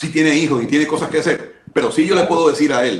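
A man with a plain, everyday voice talks at fairly high pitch with lively intonation. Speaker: government official. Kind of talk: radio interview.

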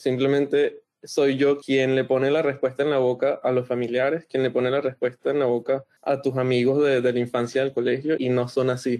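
A man with a medium pitch and a dark, mellow tone speaks at a moderate pace in a monotone, flat intonation, his loudness very even and hardly any pauses. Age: 20s. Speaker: interview guest. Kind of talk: casual interview.

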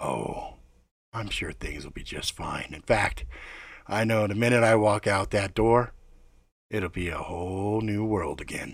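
A man uses a gruff, raspy put-on character voice at a fairly low pitch. He goes at a moderate pace with long, frequent pauses. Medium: read story. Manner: gruff, wry, observant.

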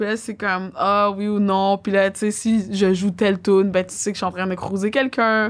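The delivery is flat and monotone at a moderate pace with hardly any pauses, on a very clean recording with a silent background. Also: woman, medium pitch for a woman. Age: 30s. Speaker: DJ and music producer. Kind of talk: casual chat.

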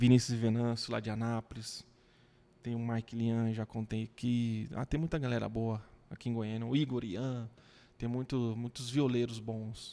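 A man with a dark, mellow tone and medium pitch talks at a fairly slow pace in a monotone, flat intonation, recorded very cleanly against a silent background. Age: 30s. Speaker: social media page creator. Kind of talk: casual chat.

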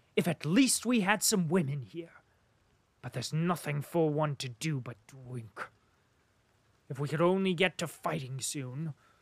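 Someone shouts loudly in a put-on character voice with lively intonation. The pace is moderate, with long, frequent pauses. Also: man, fairly high pitch for a man. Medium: read story. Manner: loud, shouting, impulsive.

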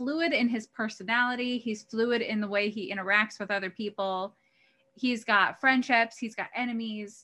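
In a very clean recording with a silent background, a woman with an American accent speaks at a moderate pace. Her fairly high voice has a bright, sharp tone and fairly even intonation. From US Midwest. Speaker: podcast co-host. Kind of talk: casual chat.

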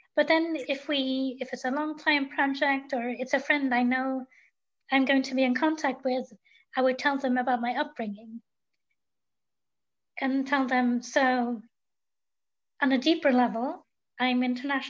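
Fairly slow, fairly even speech with long, frequent pauses. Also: woman, high pitch for a woman.

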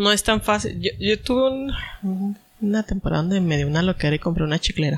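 Here is a man with a high pitch and ordinary pitch variation. He talks at a fairly quick pace. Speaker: podcast host. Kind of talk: casual chat.

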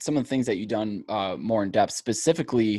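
A man talks at a moderate pace with a plain, everyday voice. His pitch is medium, with ordinary pitch variation. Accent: American. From US Midwest, Ohio. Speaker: podcast host. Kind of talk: casual interview.

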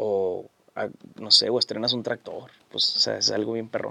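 A man is speaking. His pace is fairly slow. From Sinaloa, Mexico (Guamúchil area). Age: 30s. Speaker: singer-songwriter. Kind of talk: casual interview.

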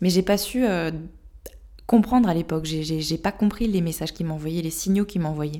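A woman's fairly low, dark, mellow voice at a moderate pace, with ordinary pitch variation. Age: 20s. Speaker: sophrologist and podcast host sharing her own story. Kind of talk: personal testimony.

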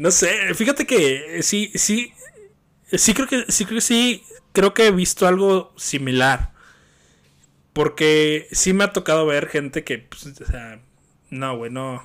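A man with a Mexican accent, high-pitched, at a very slow pace with long, frequent pauses, very wide pitch swings and big swings in loudness. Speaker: podcast host. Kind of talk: casual chat. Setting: call.

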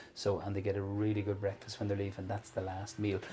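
With an Ulster accent, a man speaks at a fairly low pitch in a dark, mellow, somewhat breathy tone. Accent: Irish (Cavan). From Ireland, County Cavan. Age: 40s. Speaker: chef and restaurant owner. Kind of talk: casual interview.

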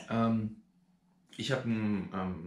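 Audible room echo surrounds a man who speaks with a somewhat breathy voice. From Germany, Rhein-Neckar area (Schwetzingen). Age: 40s. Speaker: vlogger. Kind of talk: casual vlog. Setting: outdoors. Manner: hesitant, many filler sounds.

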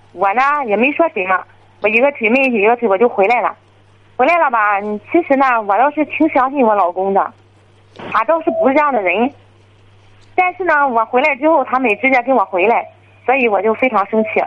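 A woman talks at a fairly quick pace and a high pitch, keeping her loudness very even. Long, frequent pauses break her speech, and background noise is noticeable. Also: lively intonation. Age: 30s. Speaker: caller, furniture shop owner. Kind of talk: phone-in confession.

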